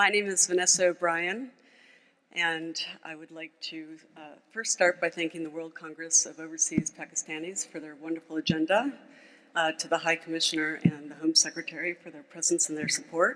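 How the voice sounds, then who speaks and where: This speaker has an American accent and talks at a moderate pace. Loudness swings a lot, and background noise is noticeable. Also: woman, fairly low pitch for a woman, ordinary pitch variation. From United States. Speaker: mountaineer and former banker, speaker. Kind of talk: conference speech.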